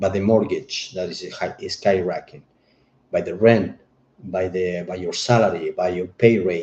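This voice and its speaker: With a non-native accent, a man speaks at a moderate pace in a fairly low pitch, his dark, mellow tone somewhat breathy and his pitch variation ordinary. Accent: foreign accent in English. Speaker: chef and political commentator. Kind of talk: livestream monologue. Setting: home livestream on camera. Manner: animated; halting.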